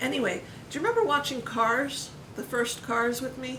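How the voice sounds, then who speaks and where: Background noise is noticeable as a woman speaks at a moderate pace. Room echo is audible too. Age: 40s. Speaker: family vlogger interviewing parent. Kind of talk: casual conversation. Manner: hesitant, many fillers.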